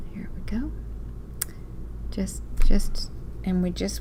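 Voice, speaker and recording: A woman speaks at a very slow pace with an American accent. Audible room echo surrounds her voice. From US South (Walker County). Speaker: craft teacher. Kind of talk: live online class tutorial. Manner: chatty, animated.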